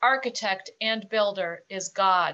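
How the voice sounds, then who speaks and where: This woman's voice has a bright, sharp tone. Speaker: scripture reader. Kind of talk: scripture reading.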